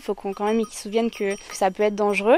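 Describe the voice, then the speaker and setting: A woman talks with a pitch that sits fairly high. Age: 20s. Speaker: volunteer at wildlife centre. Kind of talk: interview on location.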